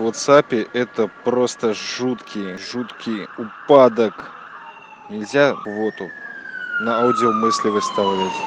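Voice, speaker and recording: Over noticeable background noise, a man speaks very slowly in a medium pitch with fairly even intonation. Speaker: podcaster. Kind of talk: voice message monologue. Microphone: smartphone.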